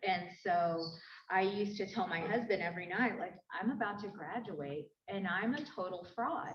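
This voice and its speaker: Here a woman speaks at a medium pitch with ordinary pitch variation. Her voice is somewhat breathy. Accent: American. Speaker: journalist and academic. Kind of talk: panel discussion.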